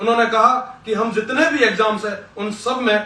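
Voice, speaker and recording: A man speaks in a raised, projected voice at a high pitch. Noticeable background noise is present. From western Rajasthan, Barmer district. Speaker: student leader. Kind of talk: political speech. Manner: impassioned.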